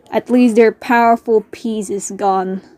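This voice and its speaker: Delivered at a very slow pace with fairly even intonation, the speech sounds dry and close with no echo, though background noise is noticeable. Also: woman. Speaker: hobby animator. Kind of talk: casual gameplay commentary. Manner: natural, unforced own voice.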